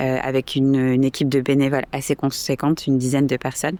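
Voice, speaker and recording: This woman has a very deep, low pitch and a dark, mellow tone. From France, Toulouse. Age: 20s. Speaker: volunteer cycling instructor. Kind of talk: interview. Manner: hesitant, many fillers.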